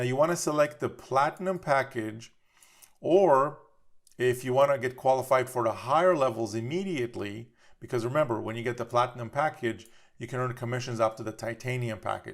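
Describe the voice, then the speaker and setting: Medium pitch from a man, fairly quick pace, ordinary pitch variation. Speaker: webinar presenter. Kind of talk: tutorial. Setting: live webinar. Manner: fast.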